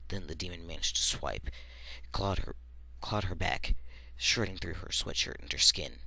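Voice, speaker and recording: A bright, sharp tone with vocal fry swings very widely in pitch. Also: man, very deep, low pitch for a man, moderate pace. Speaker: amateur storyteller. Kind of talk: horror story reading.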